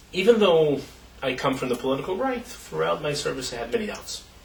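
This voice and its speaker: Background noise is clearly audible along with a noticeable room echo. Over it, a man talks extremely quickly. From Israel, Jerusalem. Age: 30s. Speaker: activist and former soldier. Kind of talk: interview. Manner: halting, with many fillers.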